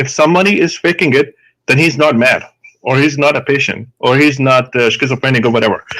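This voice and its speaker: A man with a strong Indian accent speaks very fast at a fairly high pitch, his loudness very even and his pitch varying in an ordinary way. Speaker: psychiatrist, guest doctor. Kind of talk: call-in debate discussion. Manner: halting, many fillers.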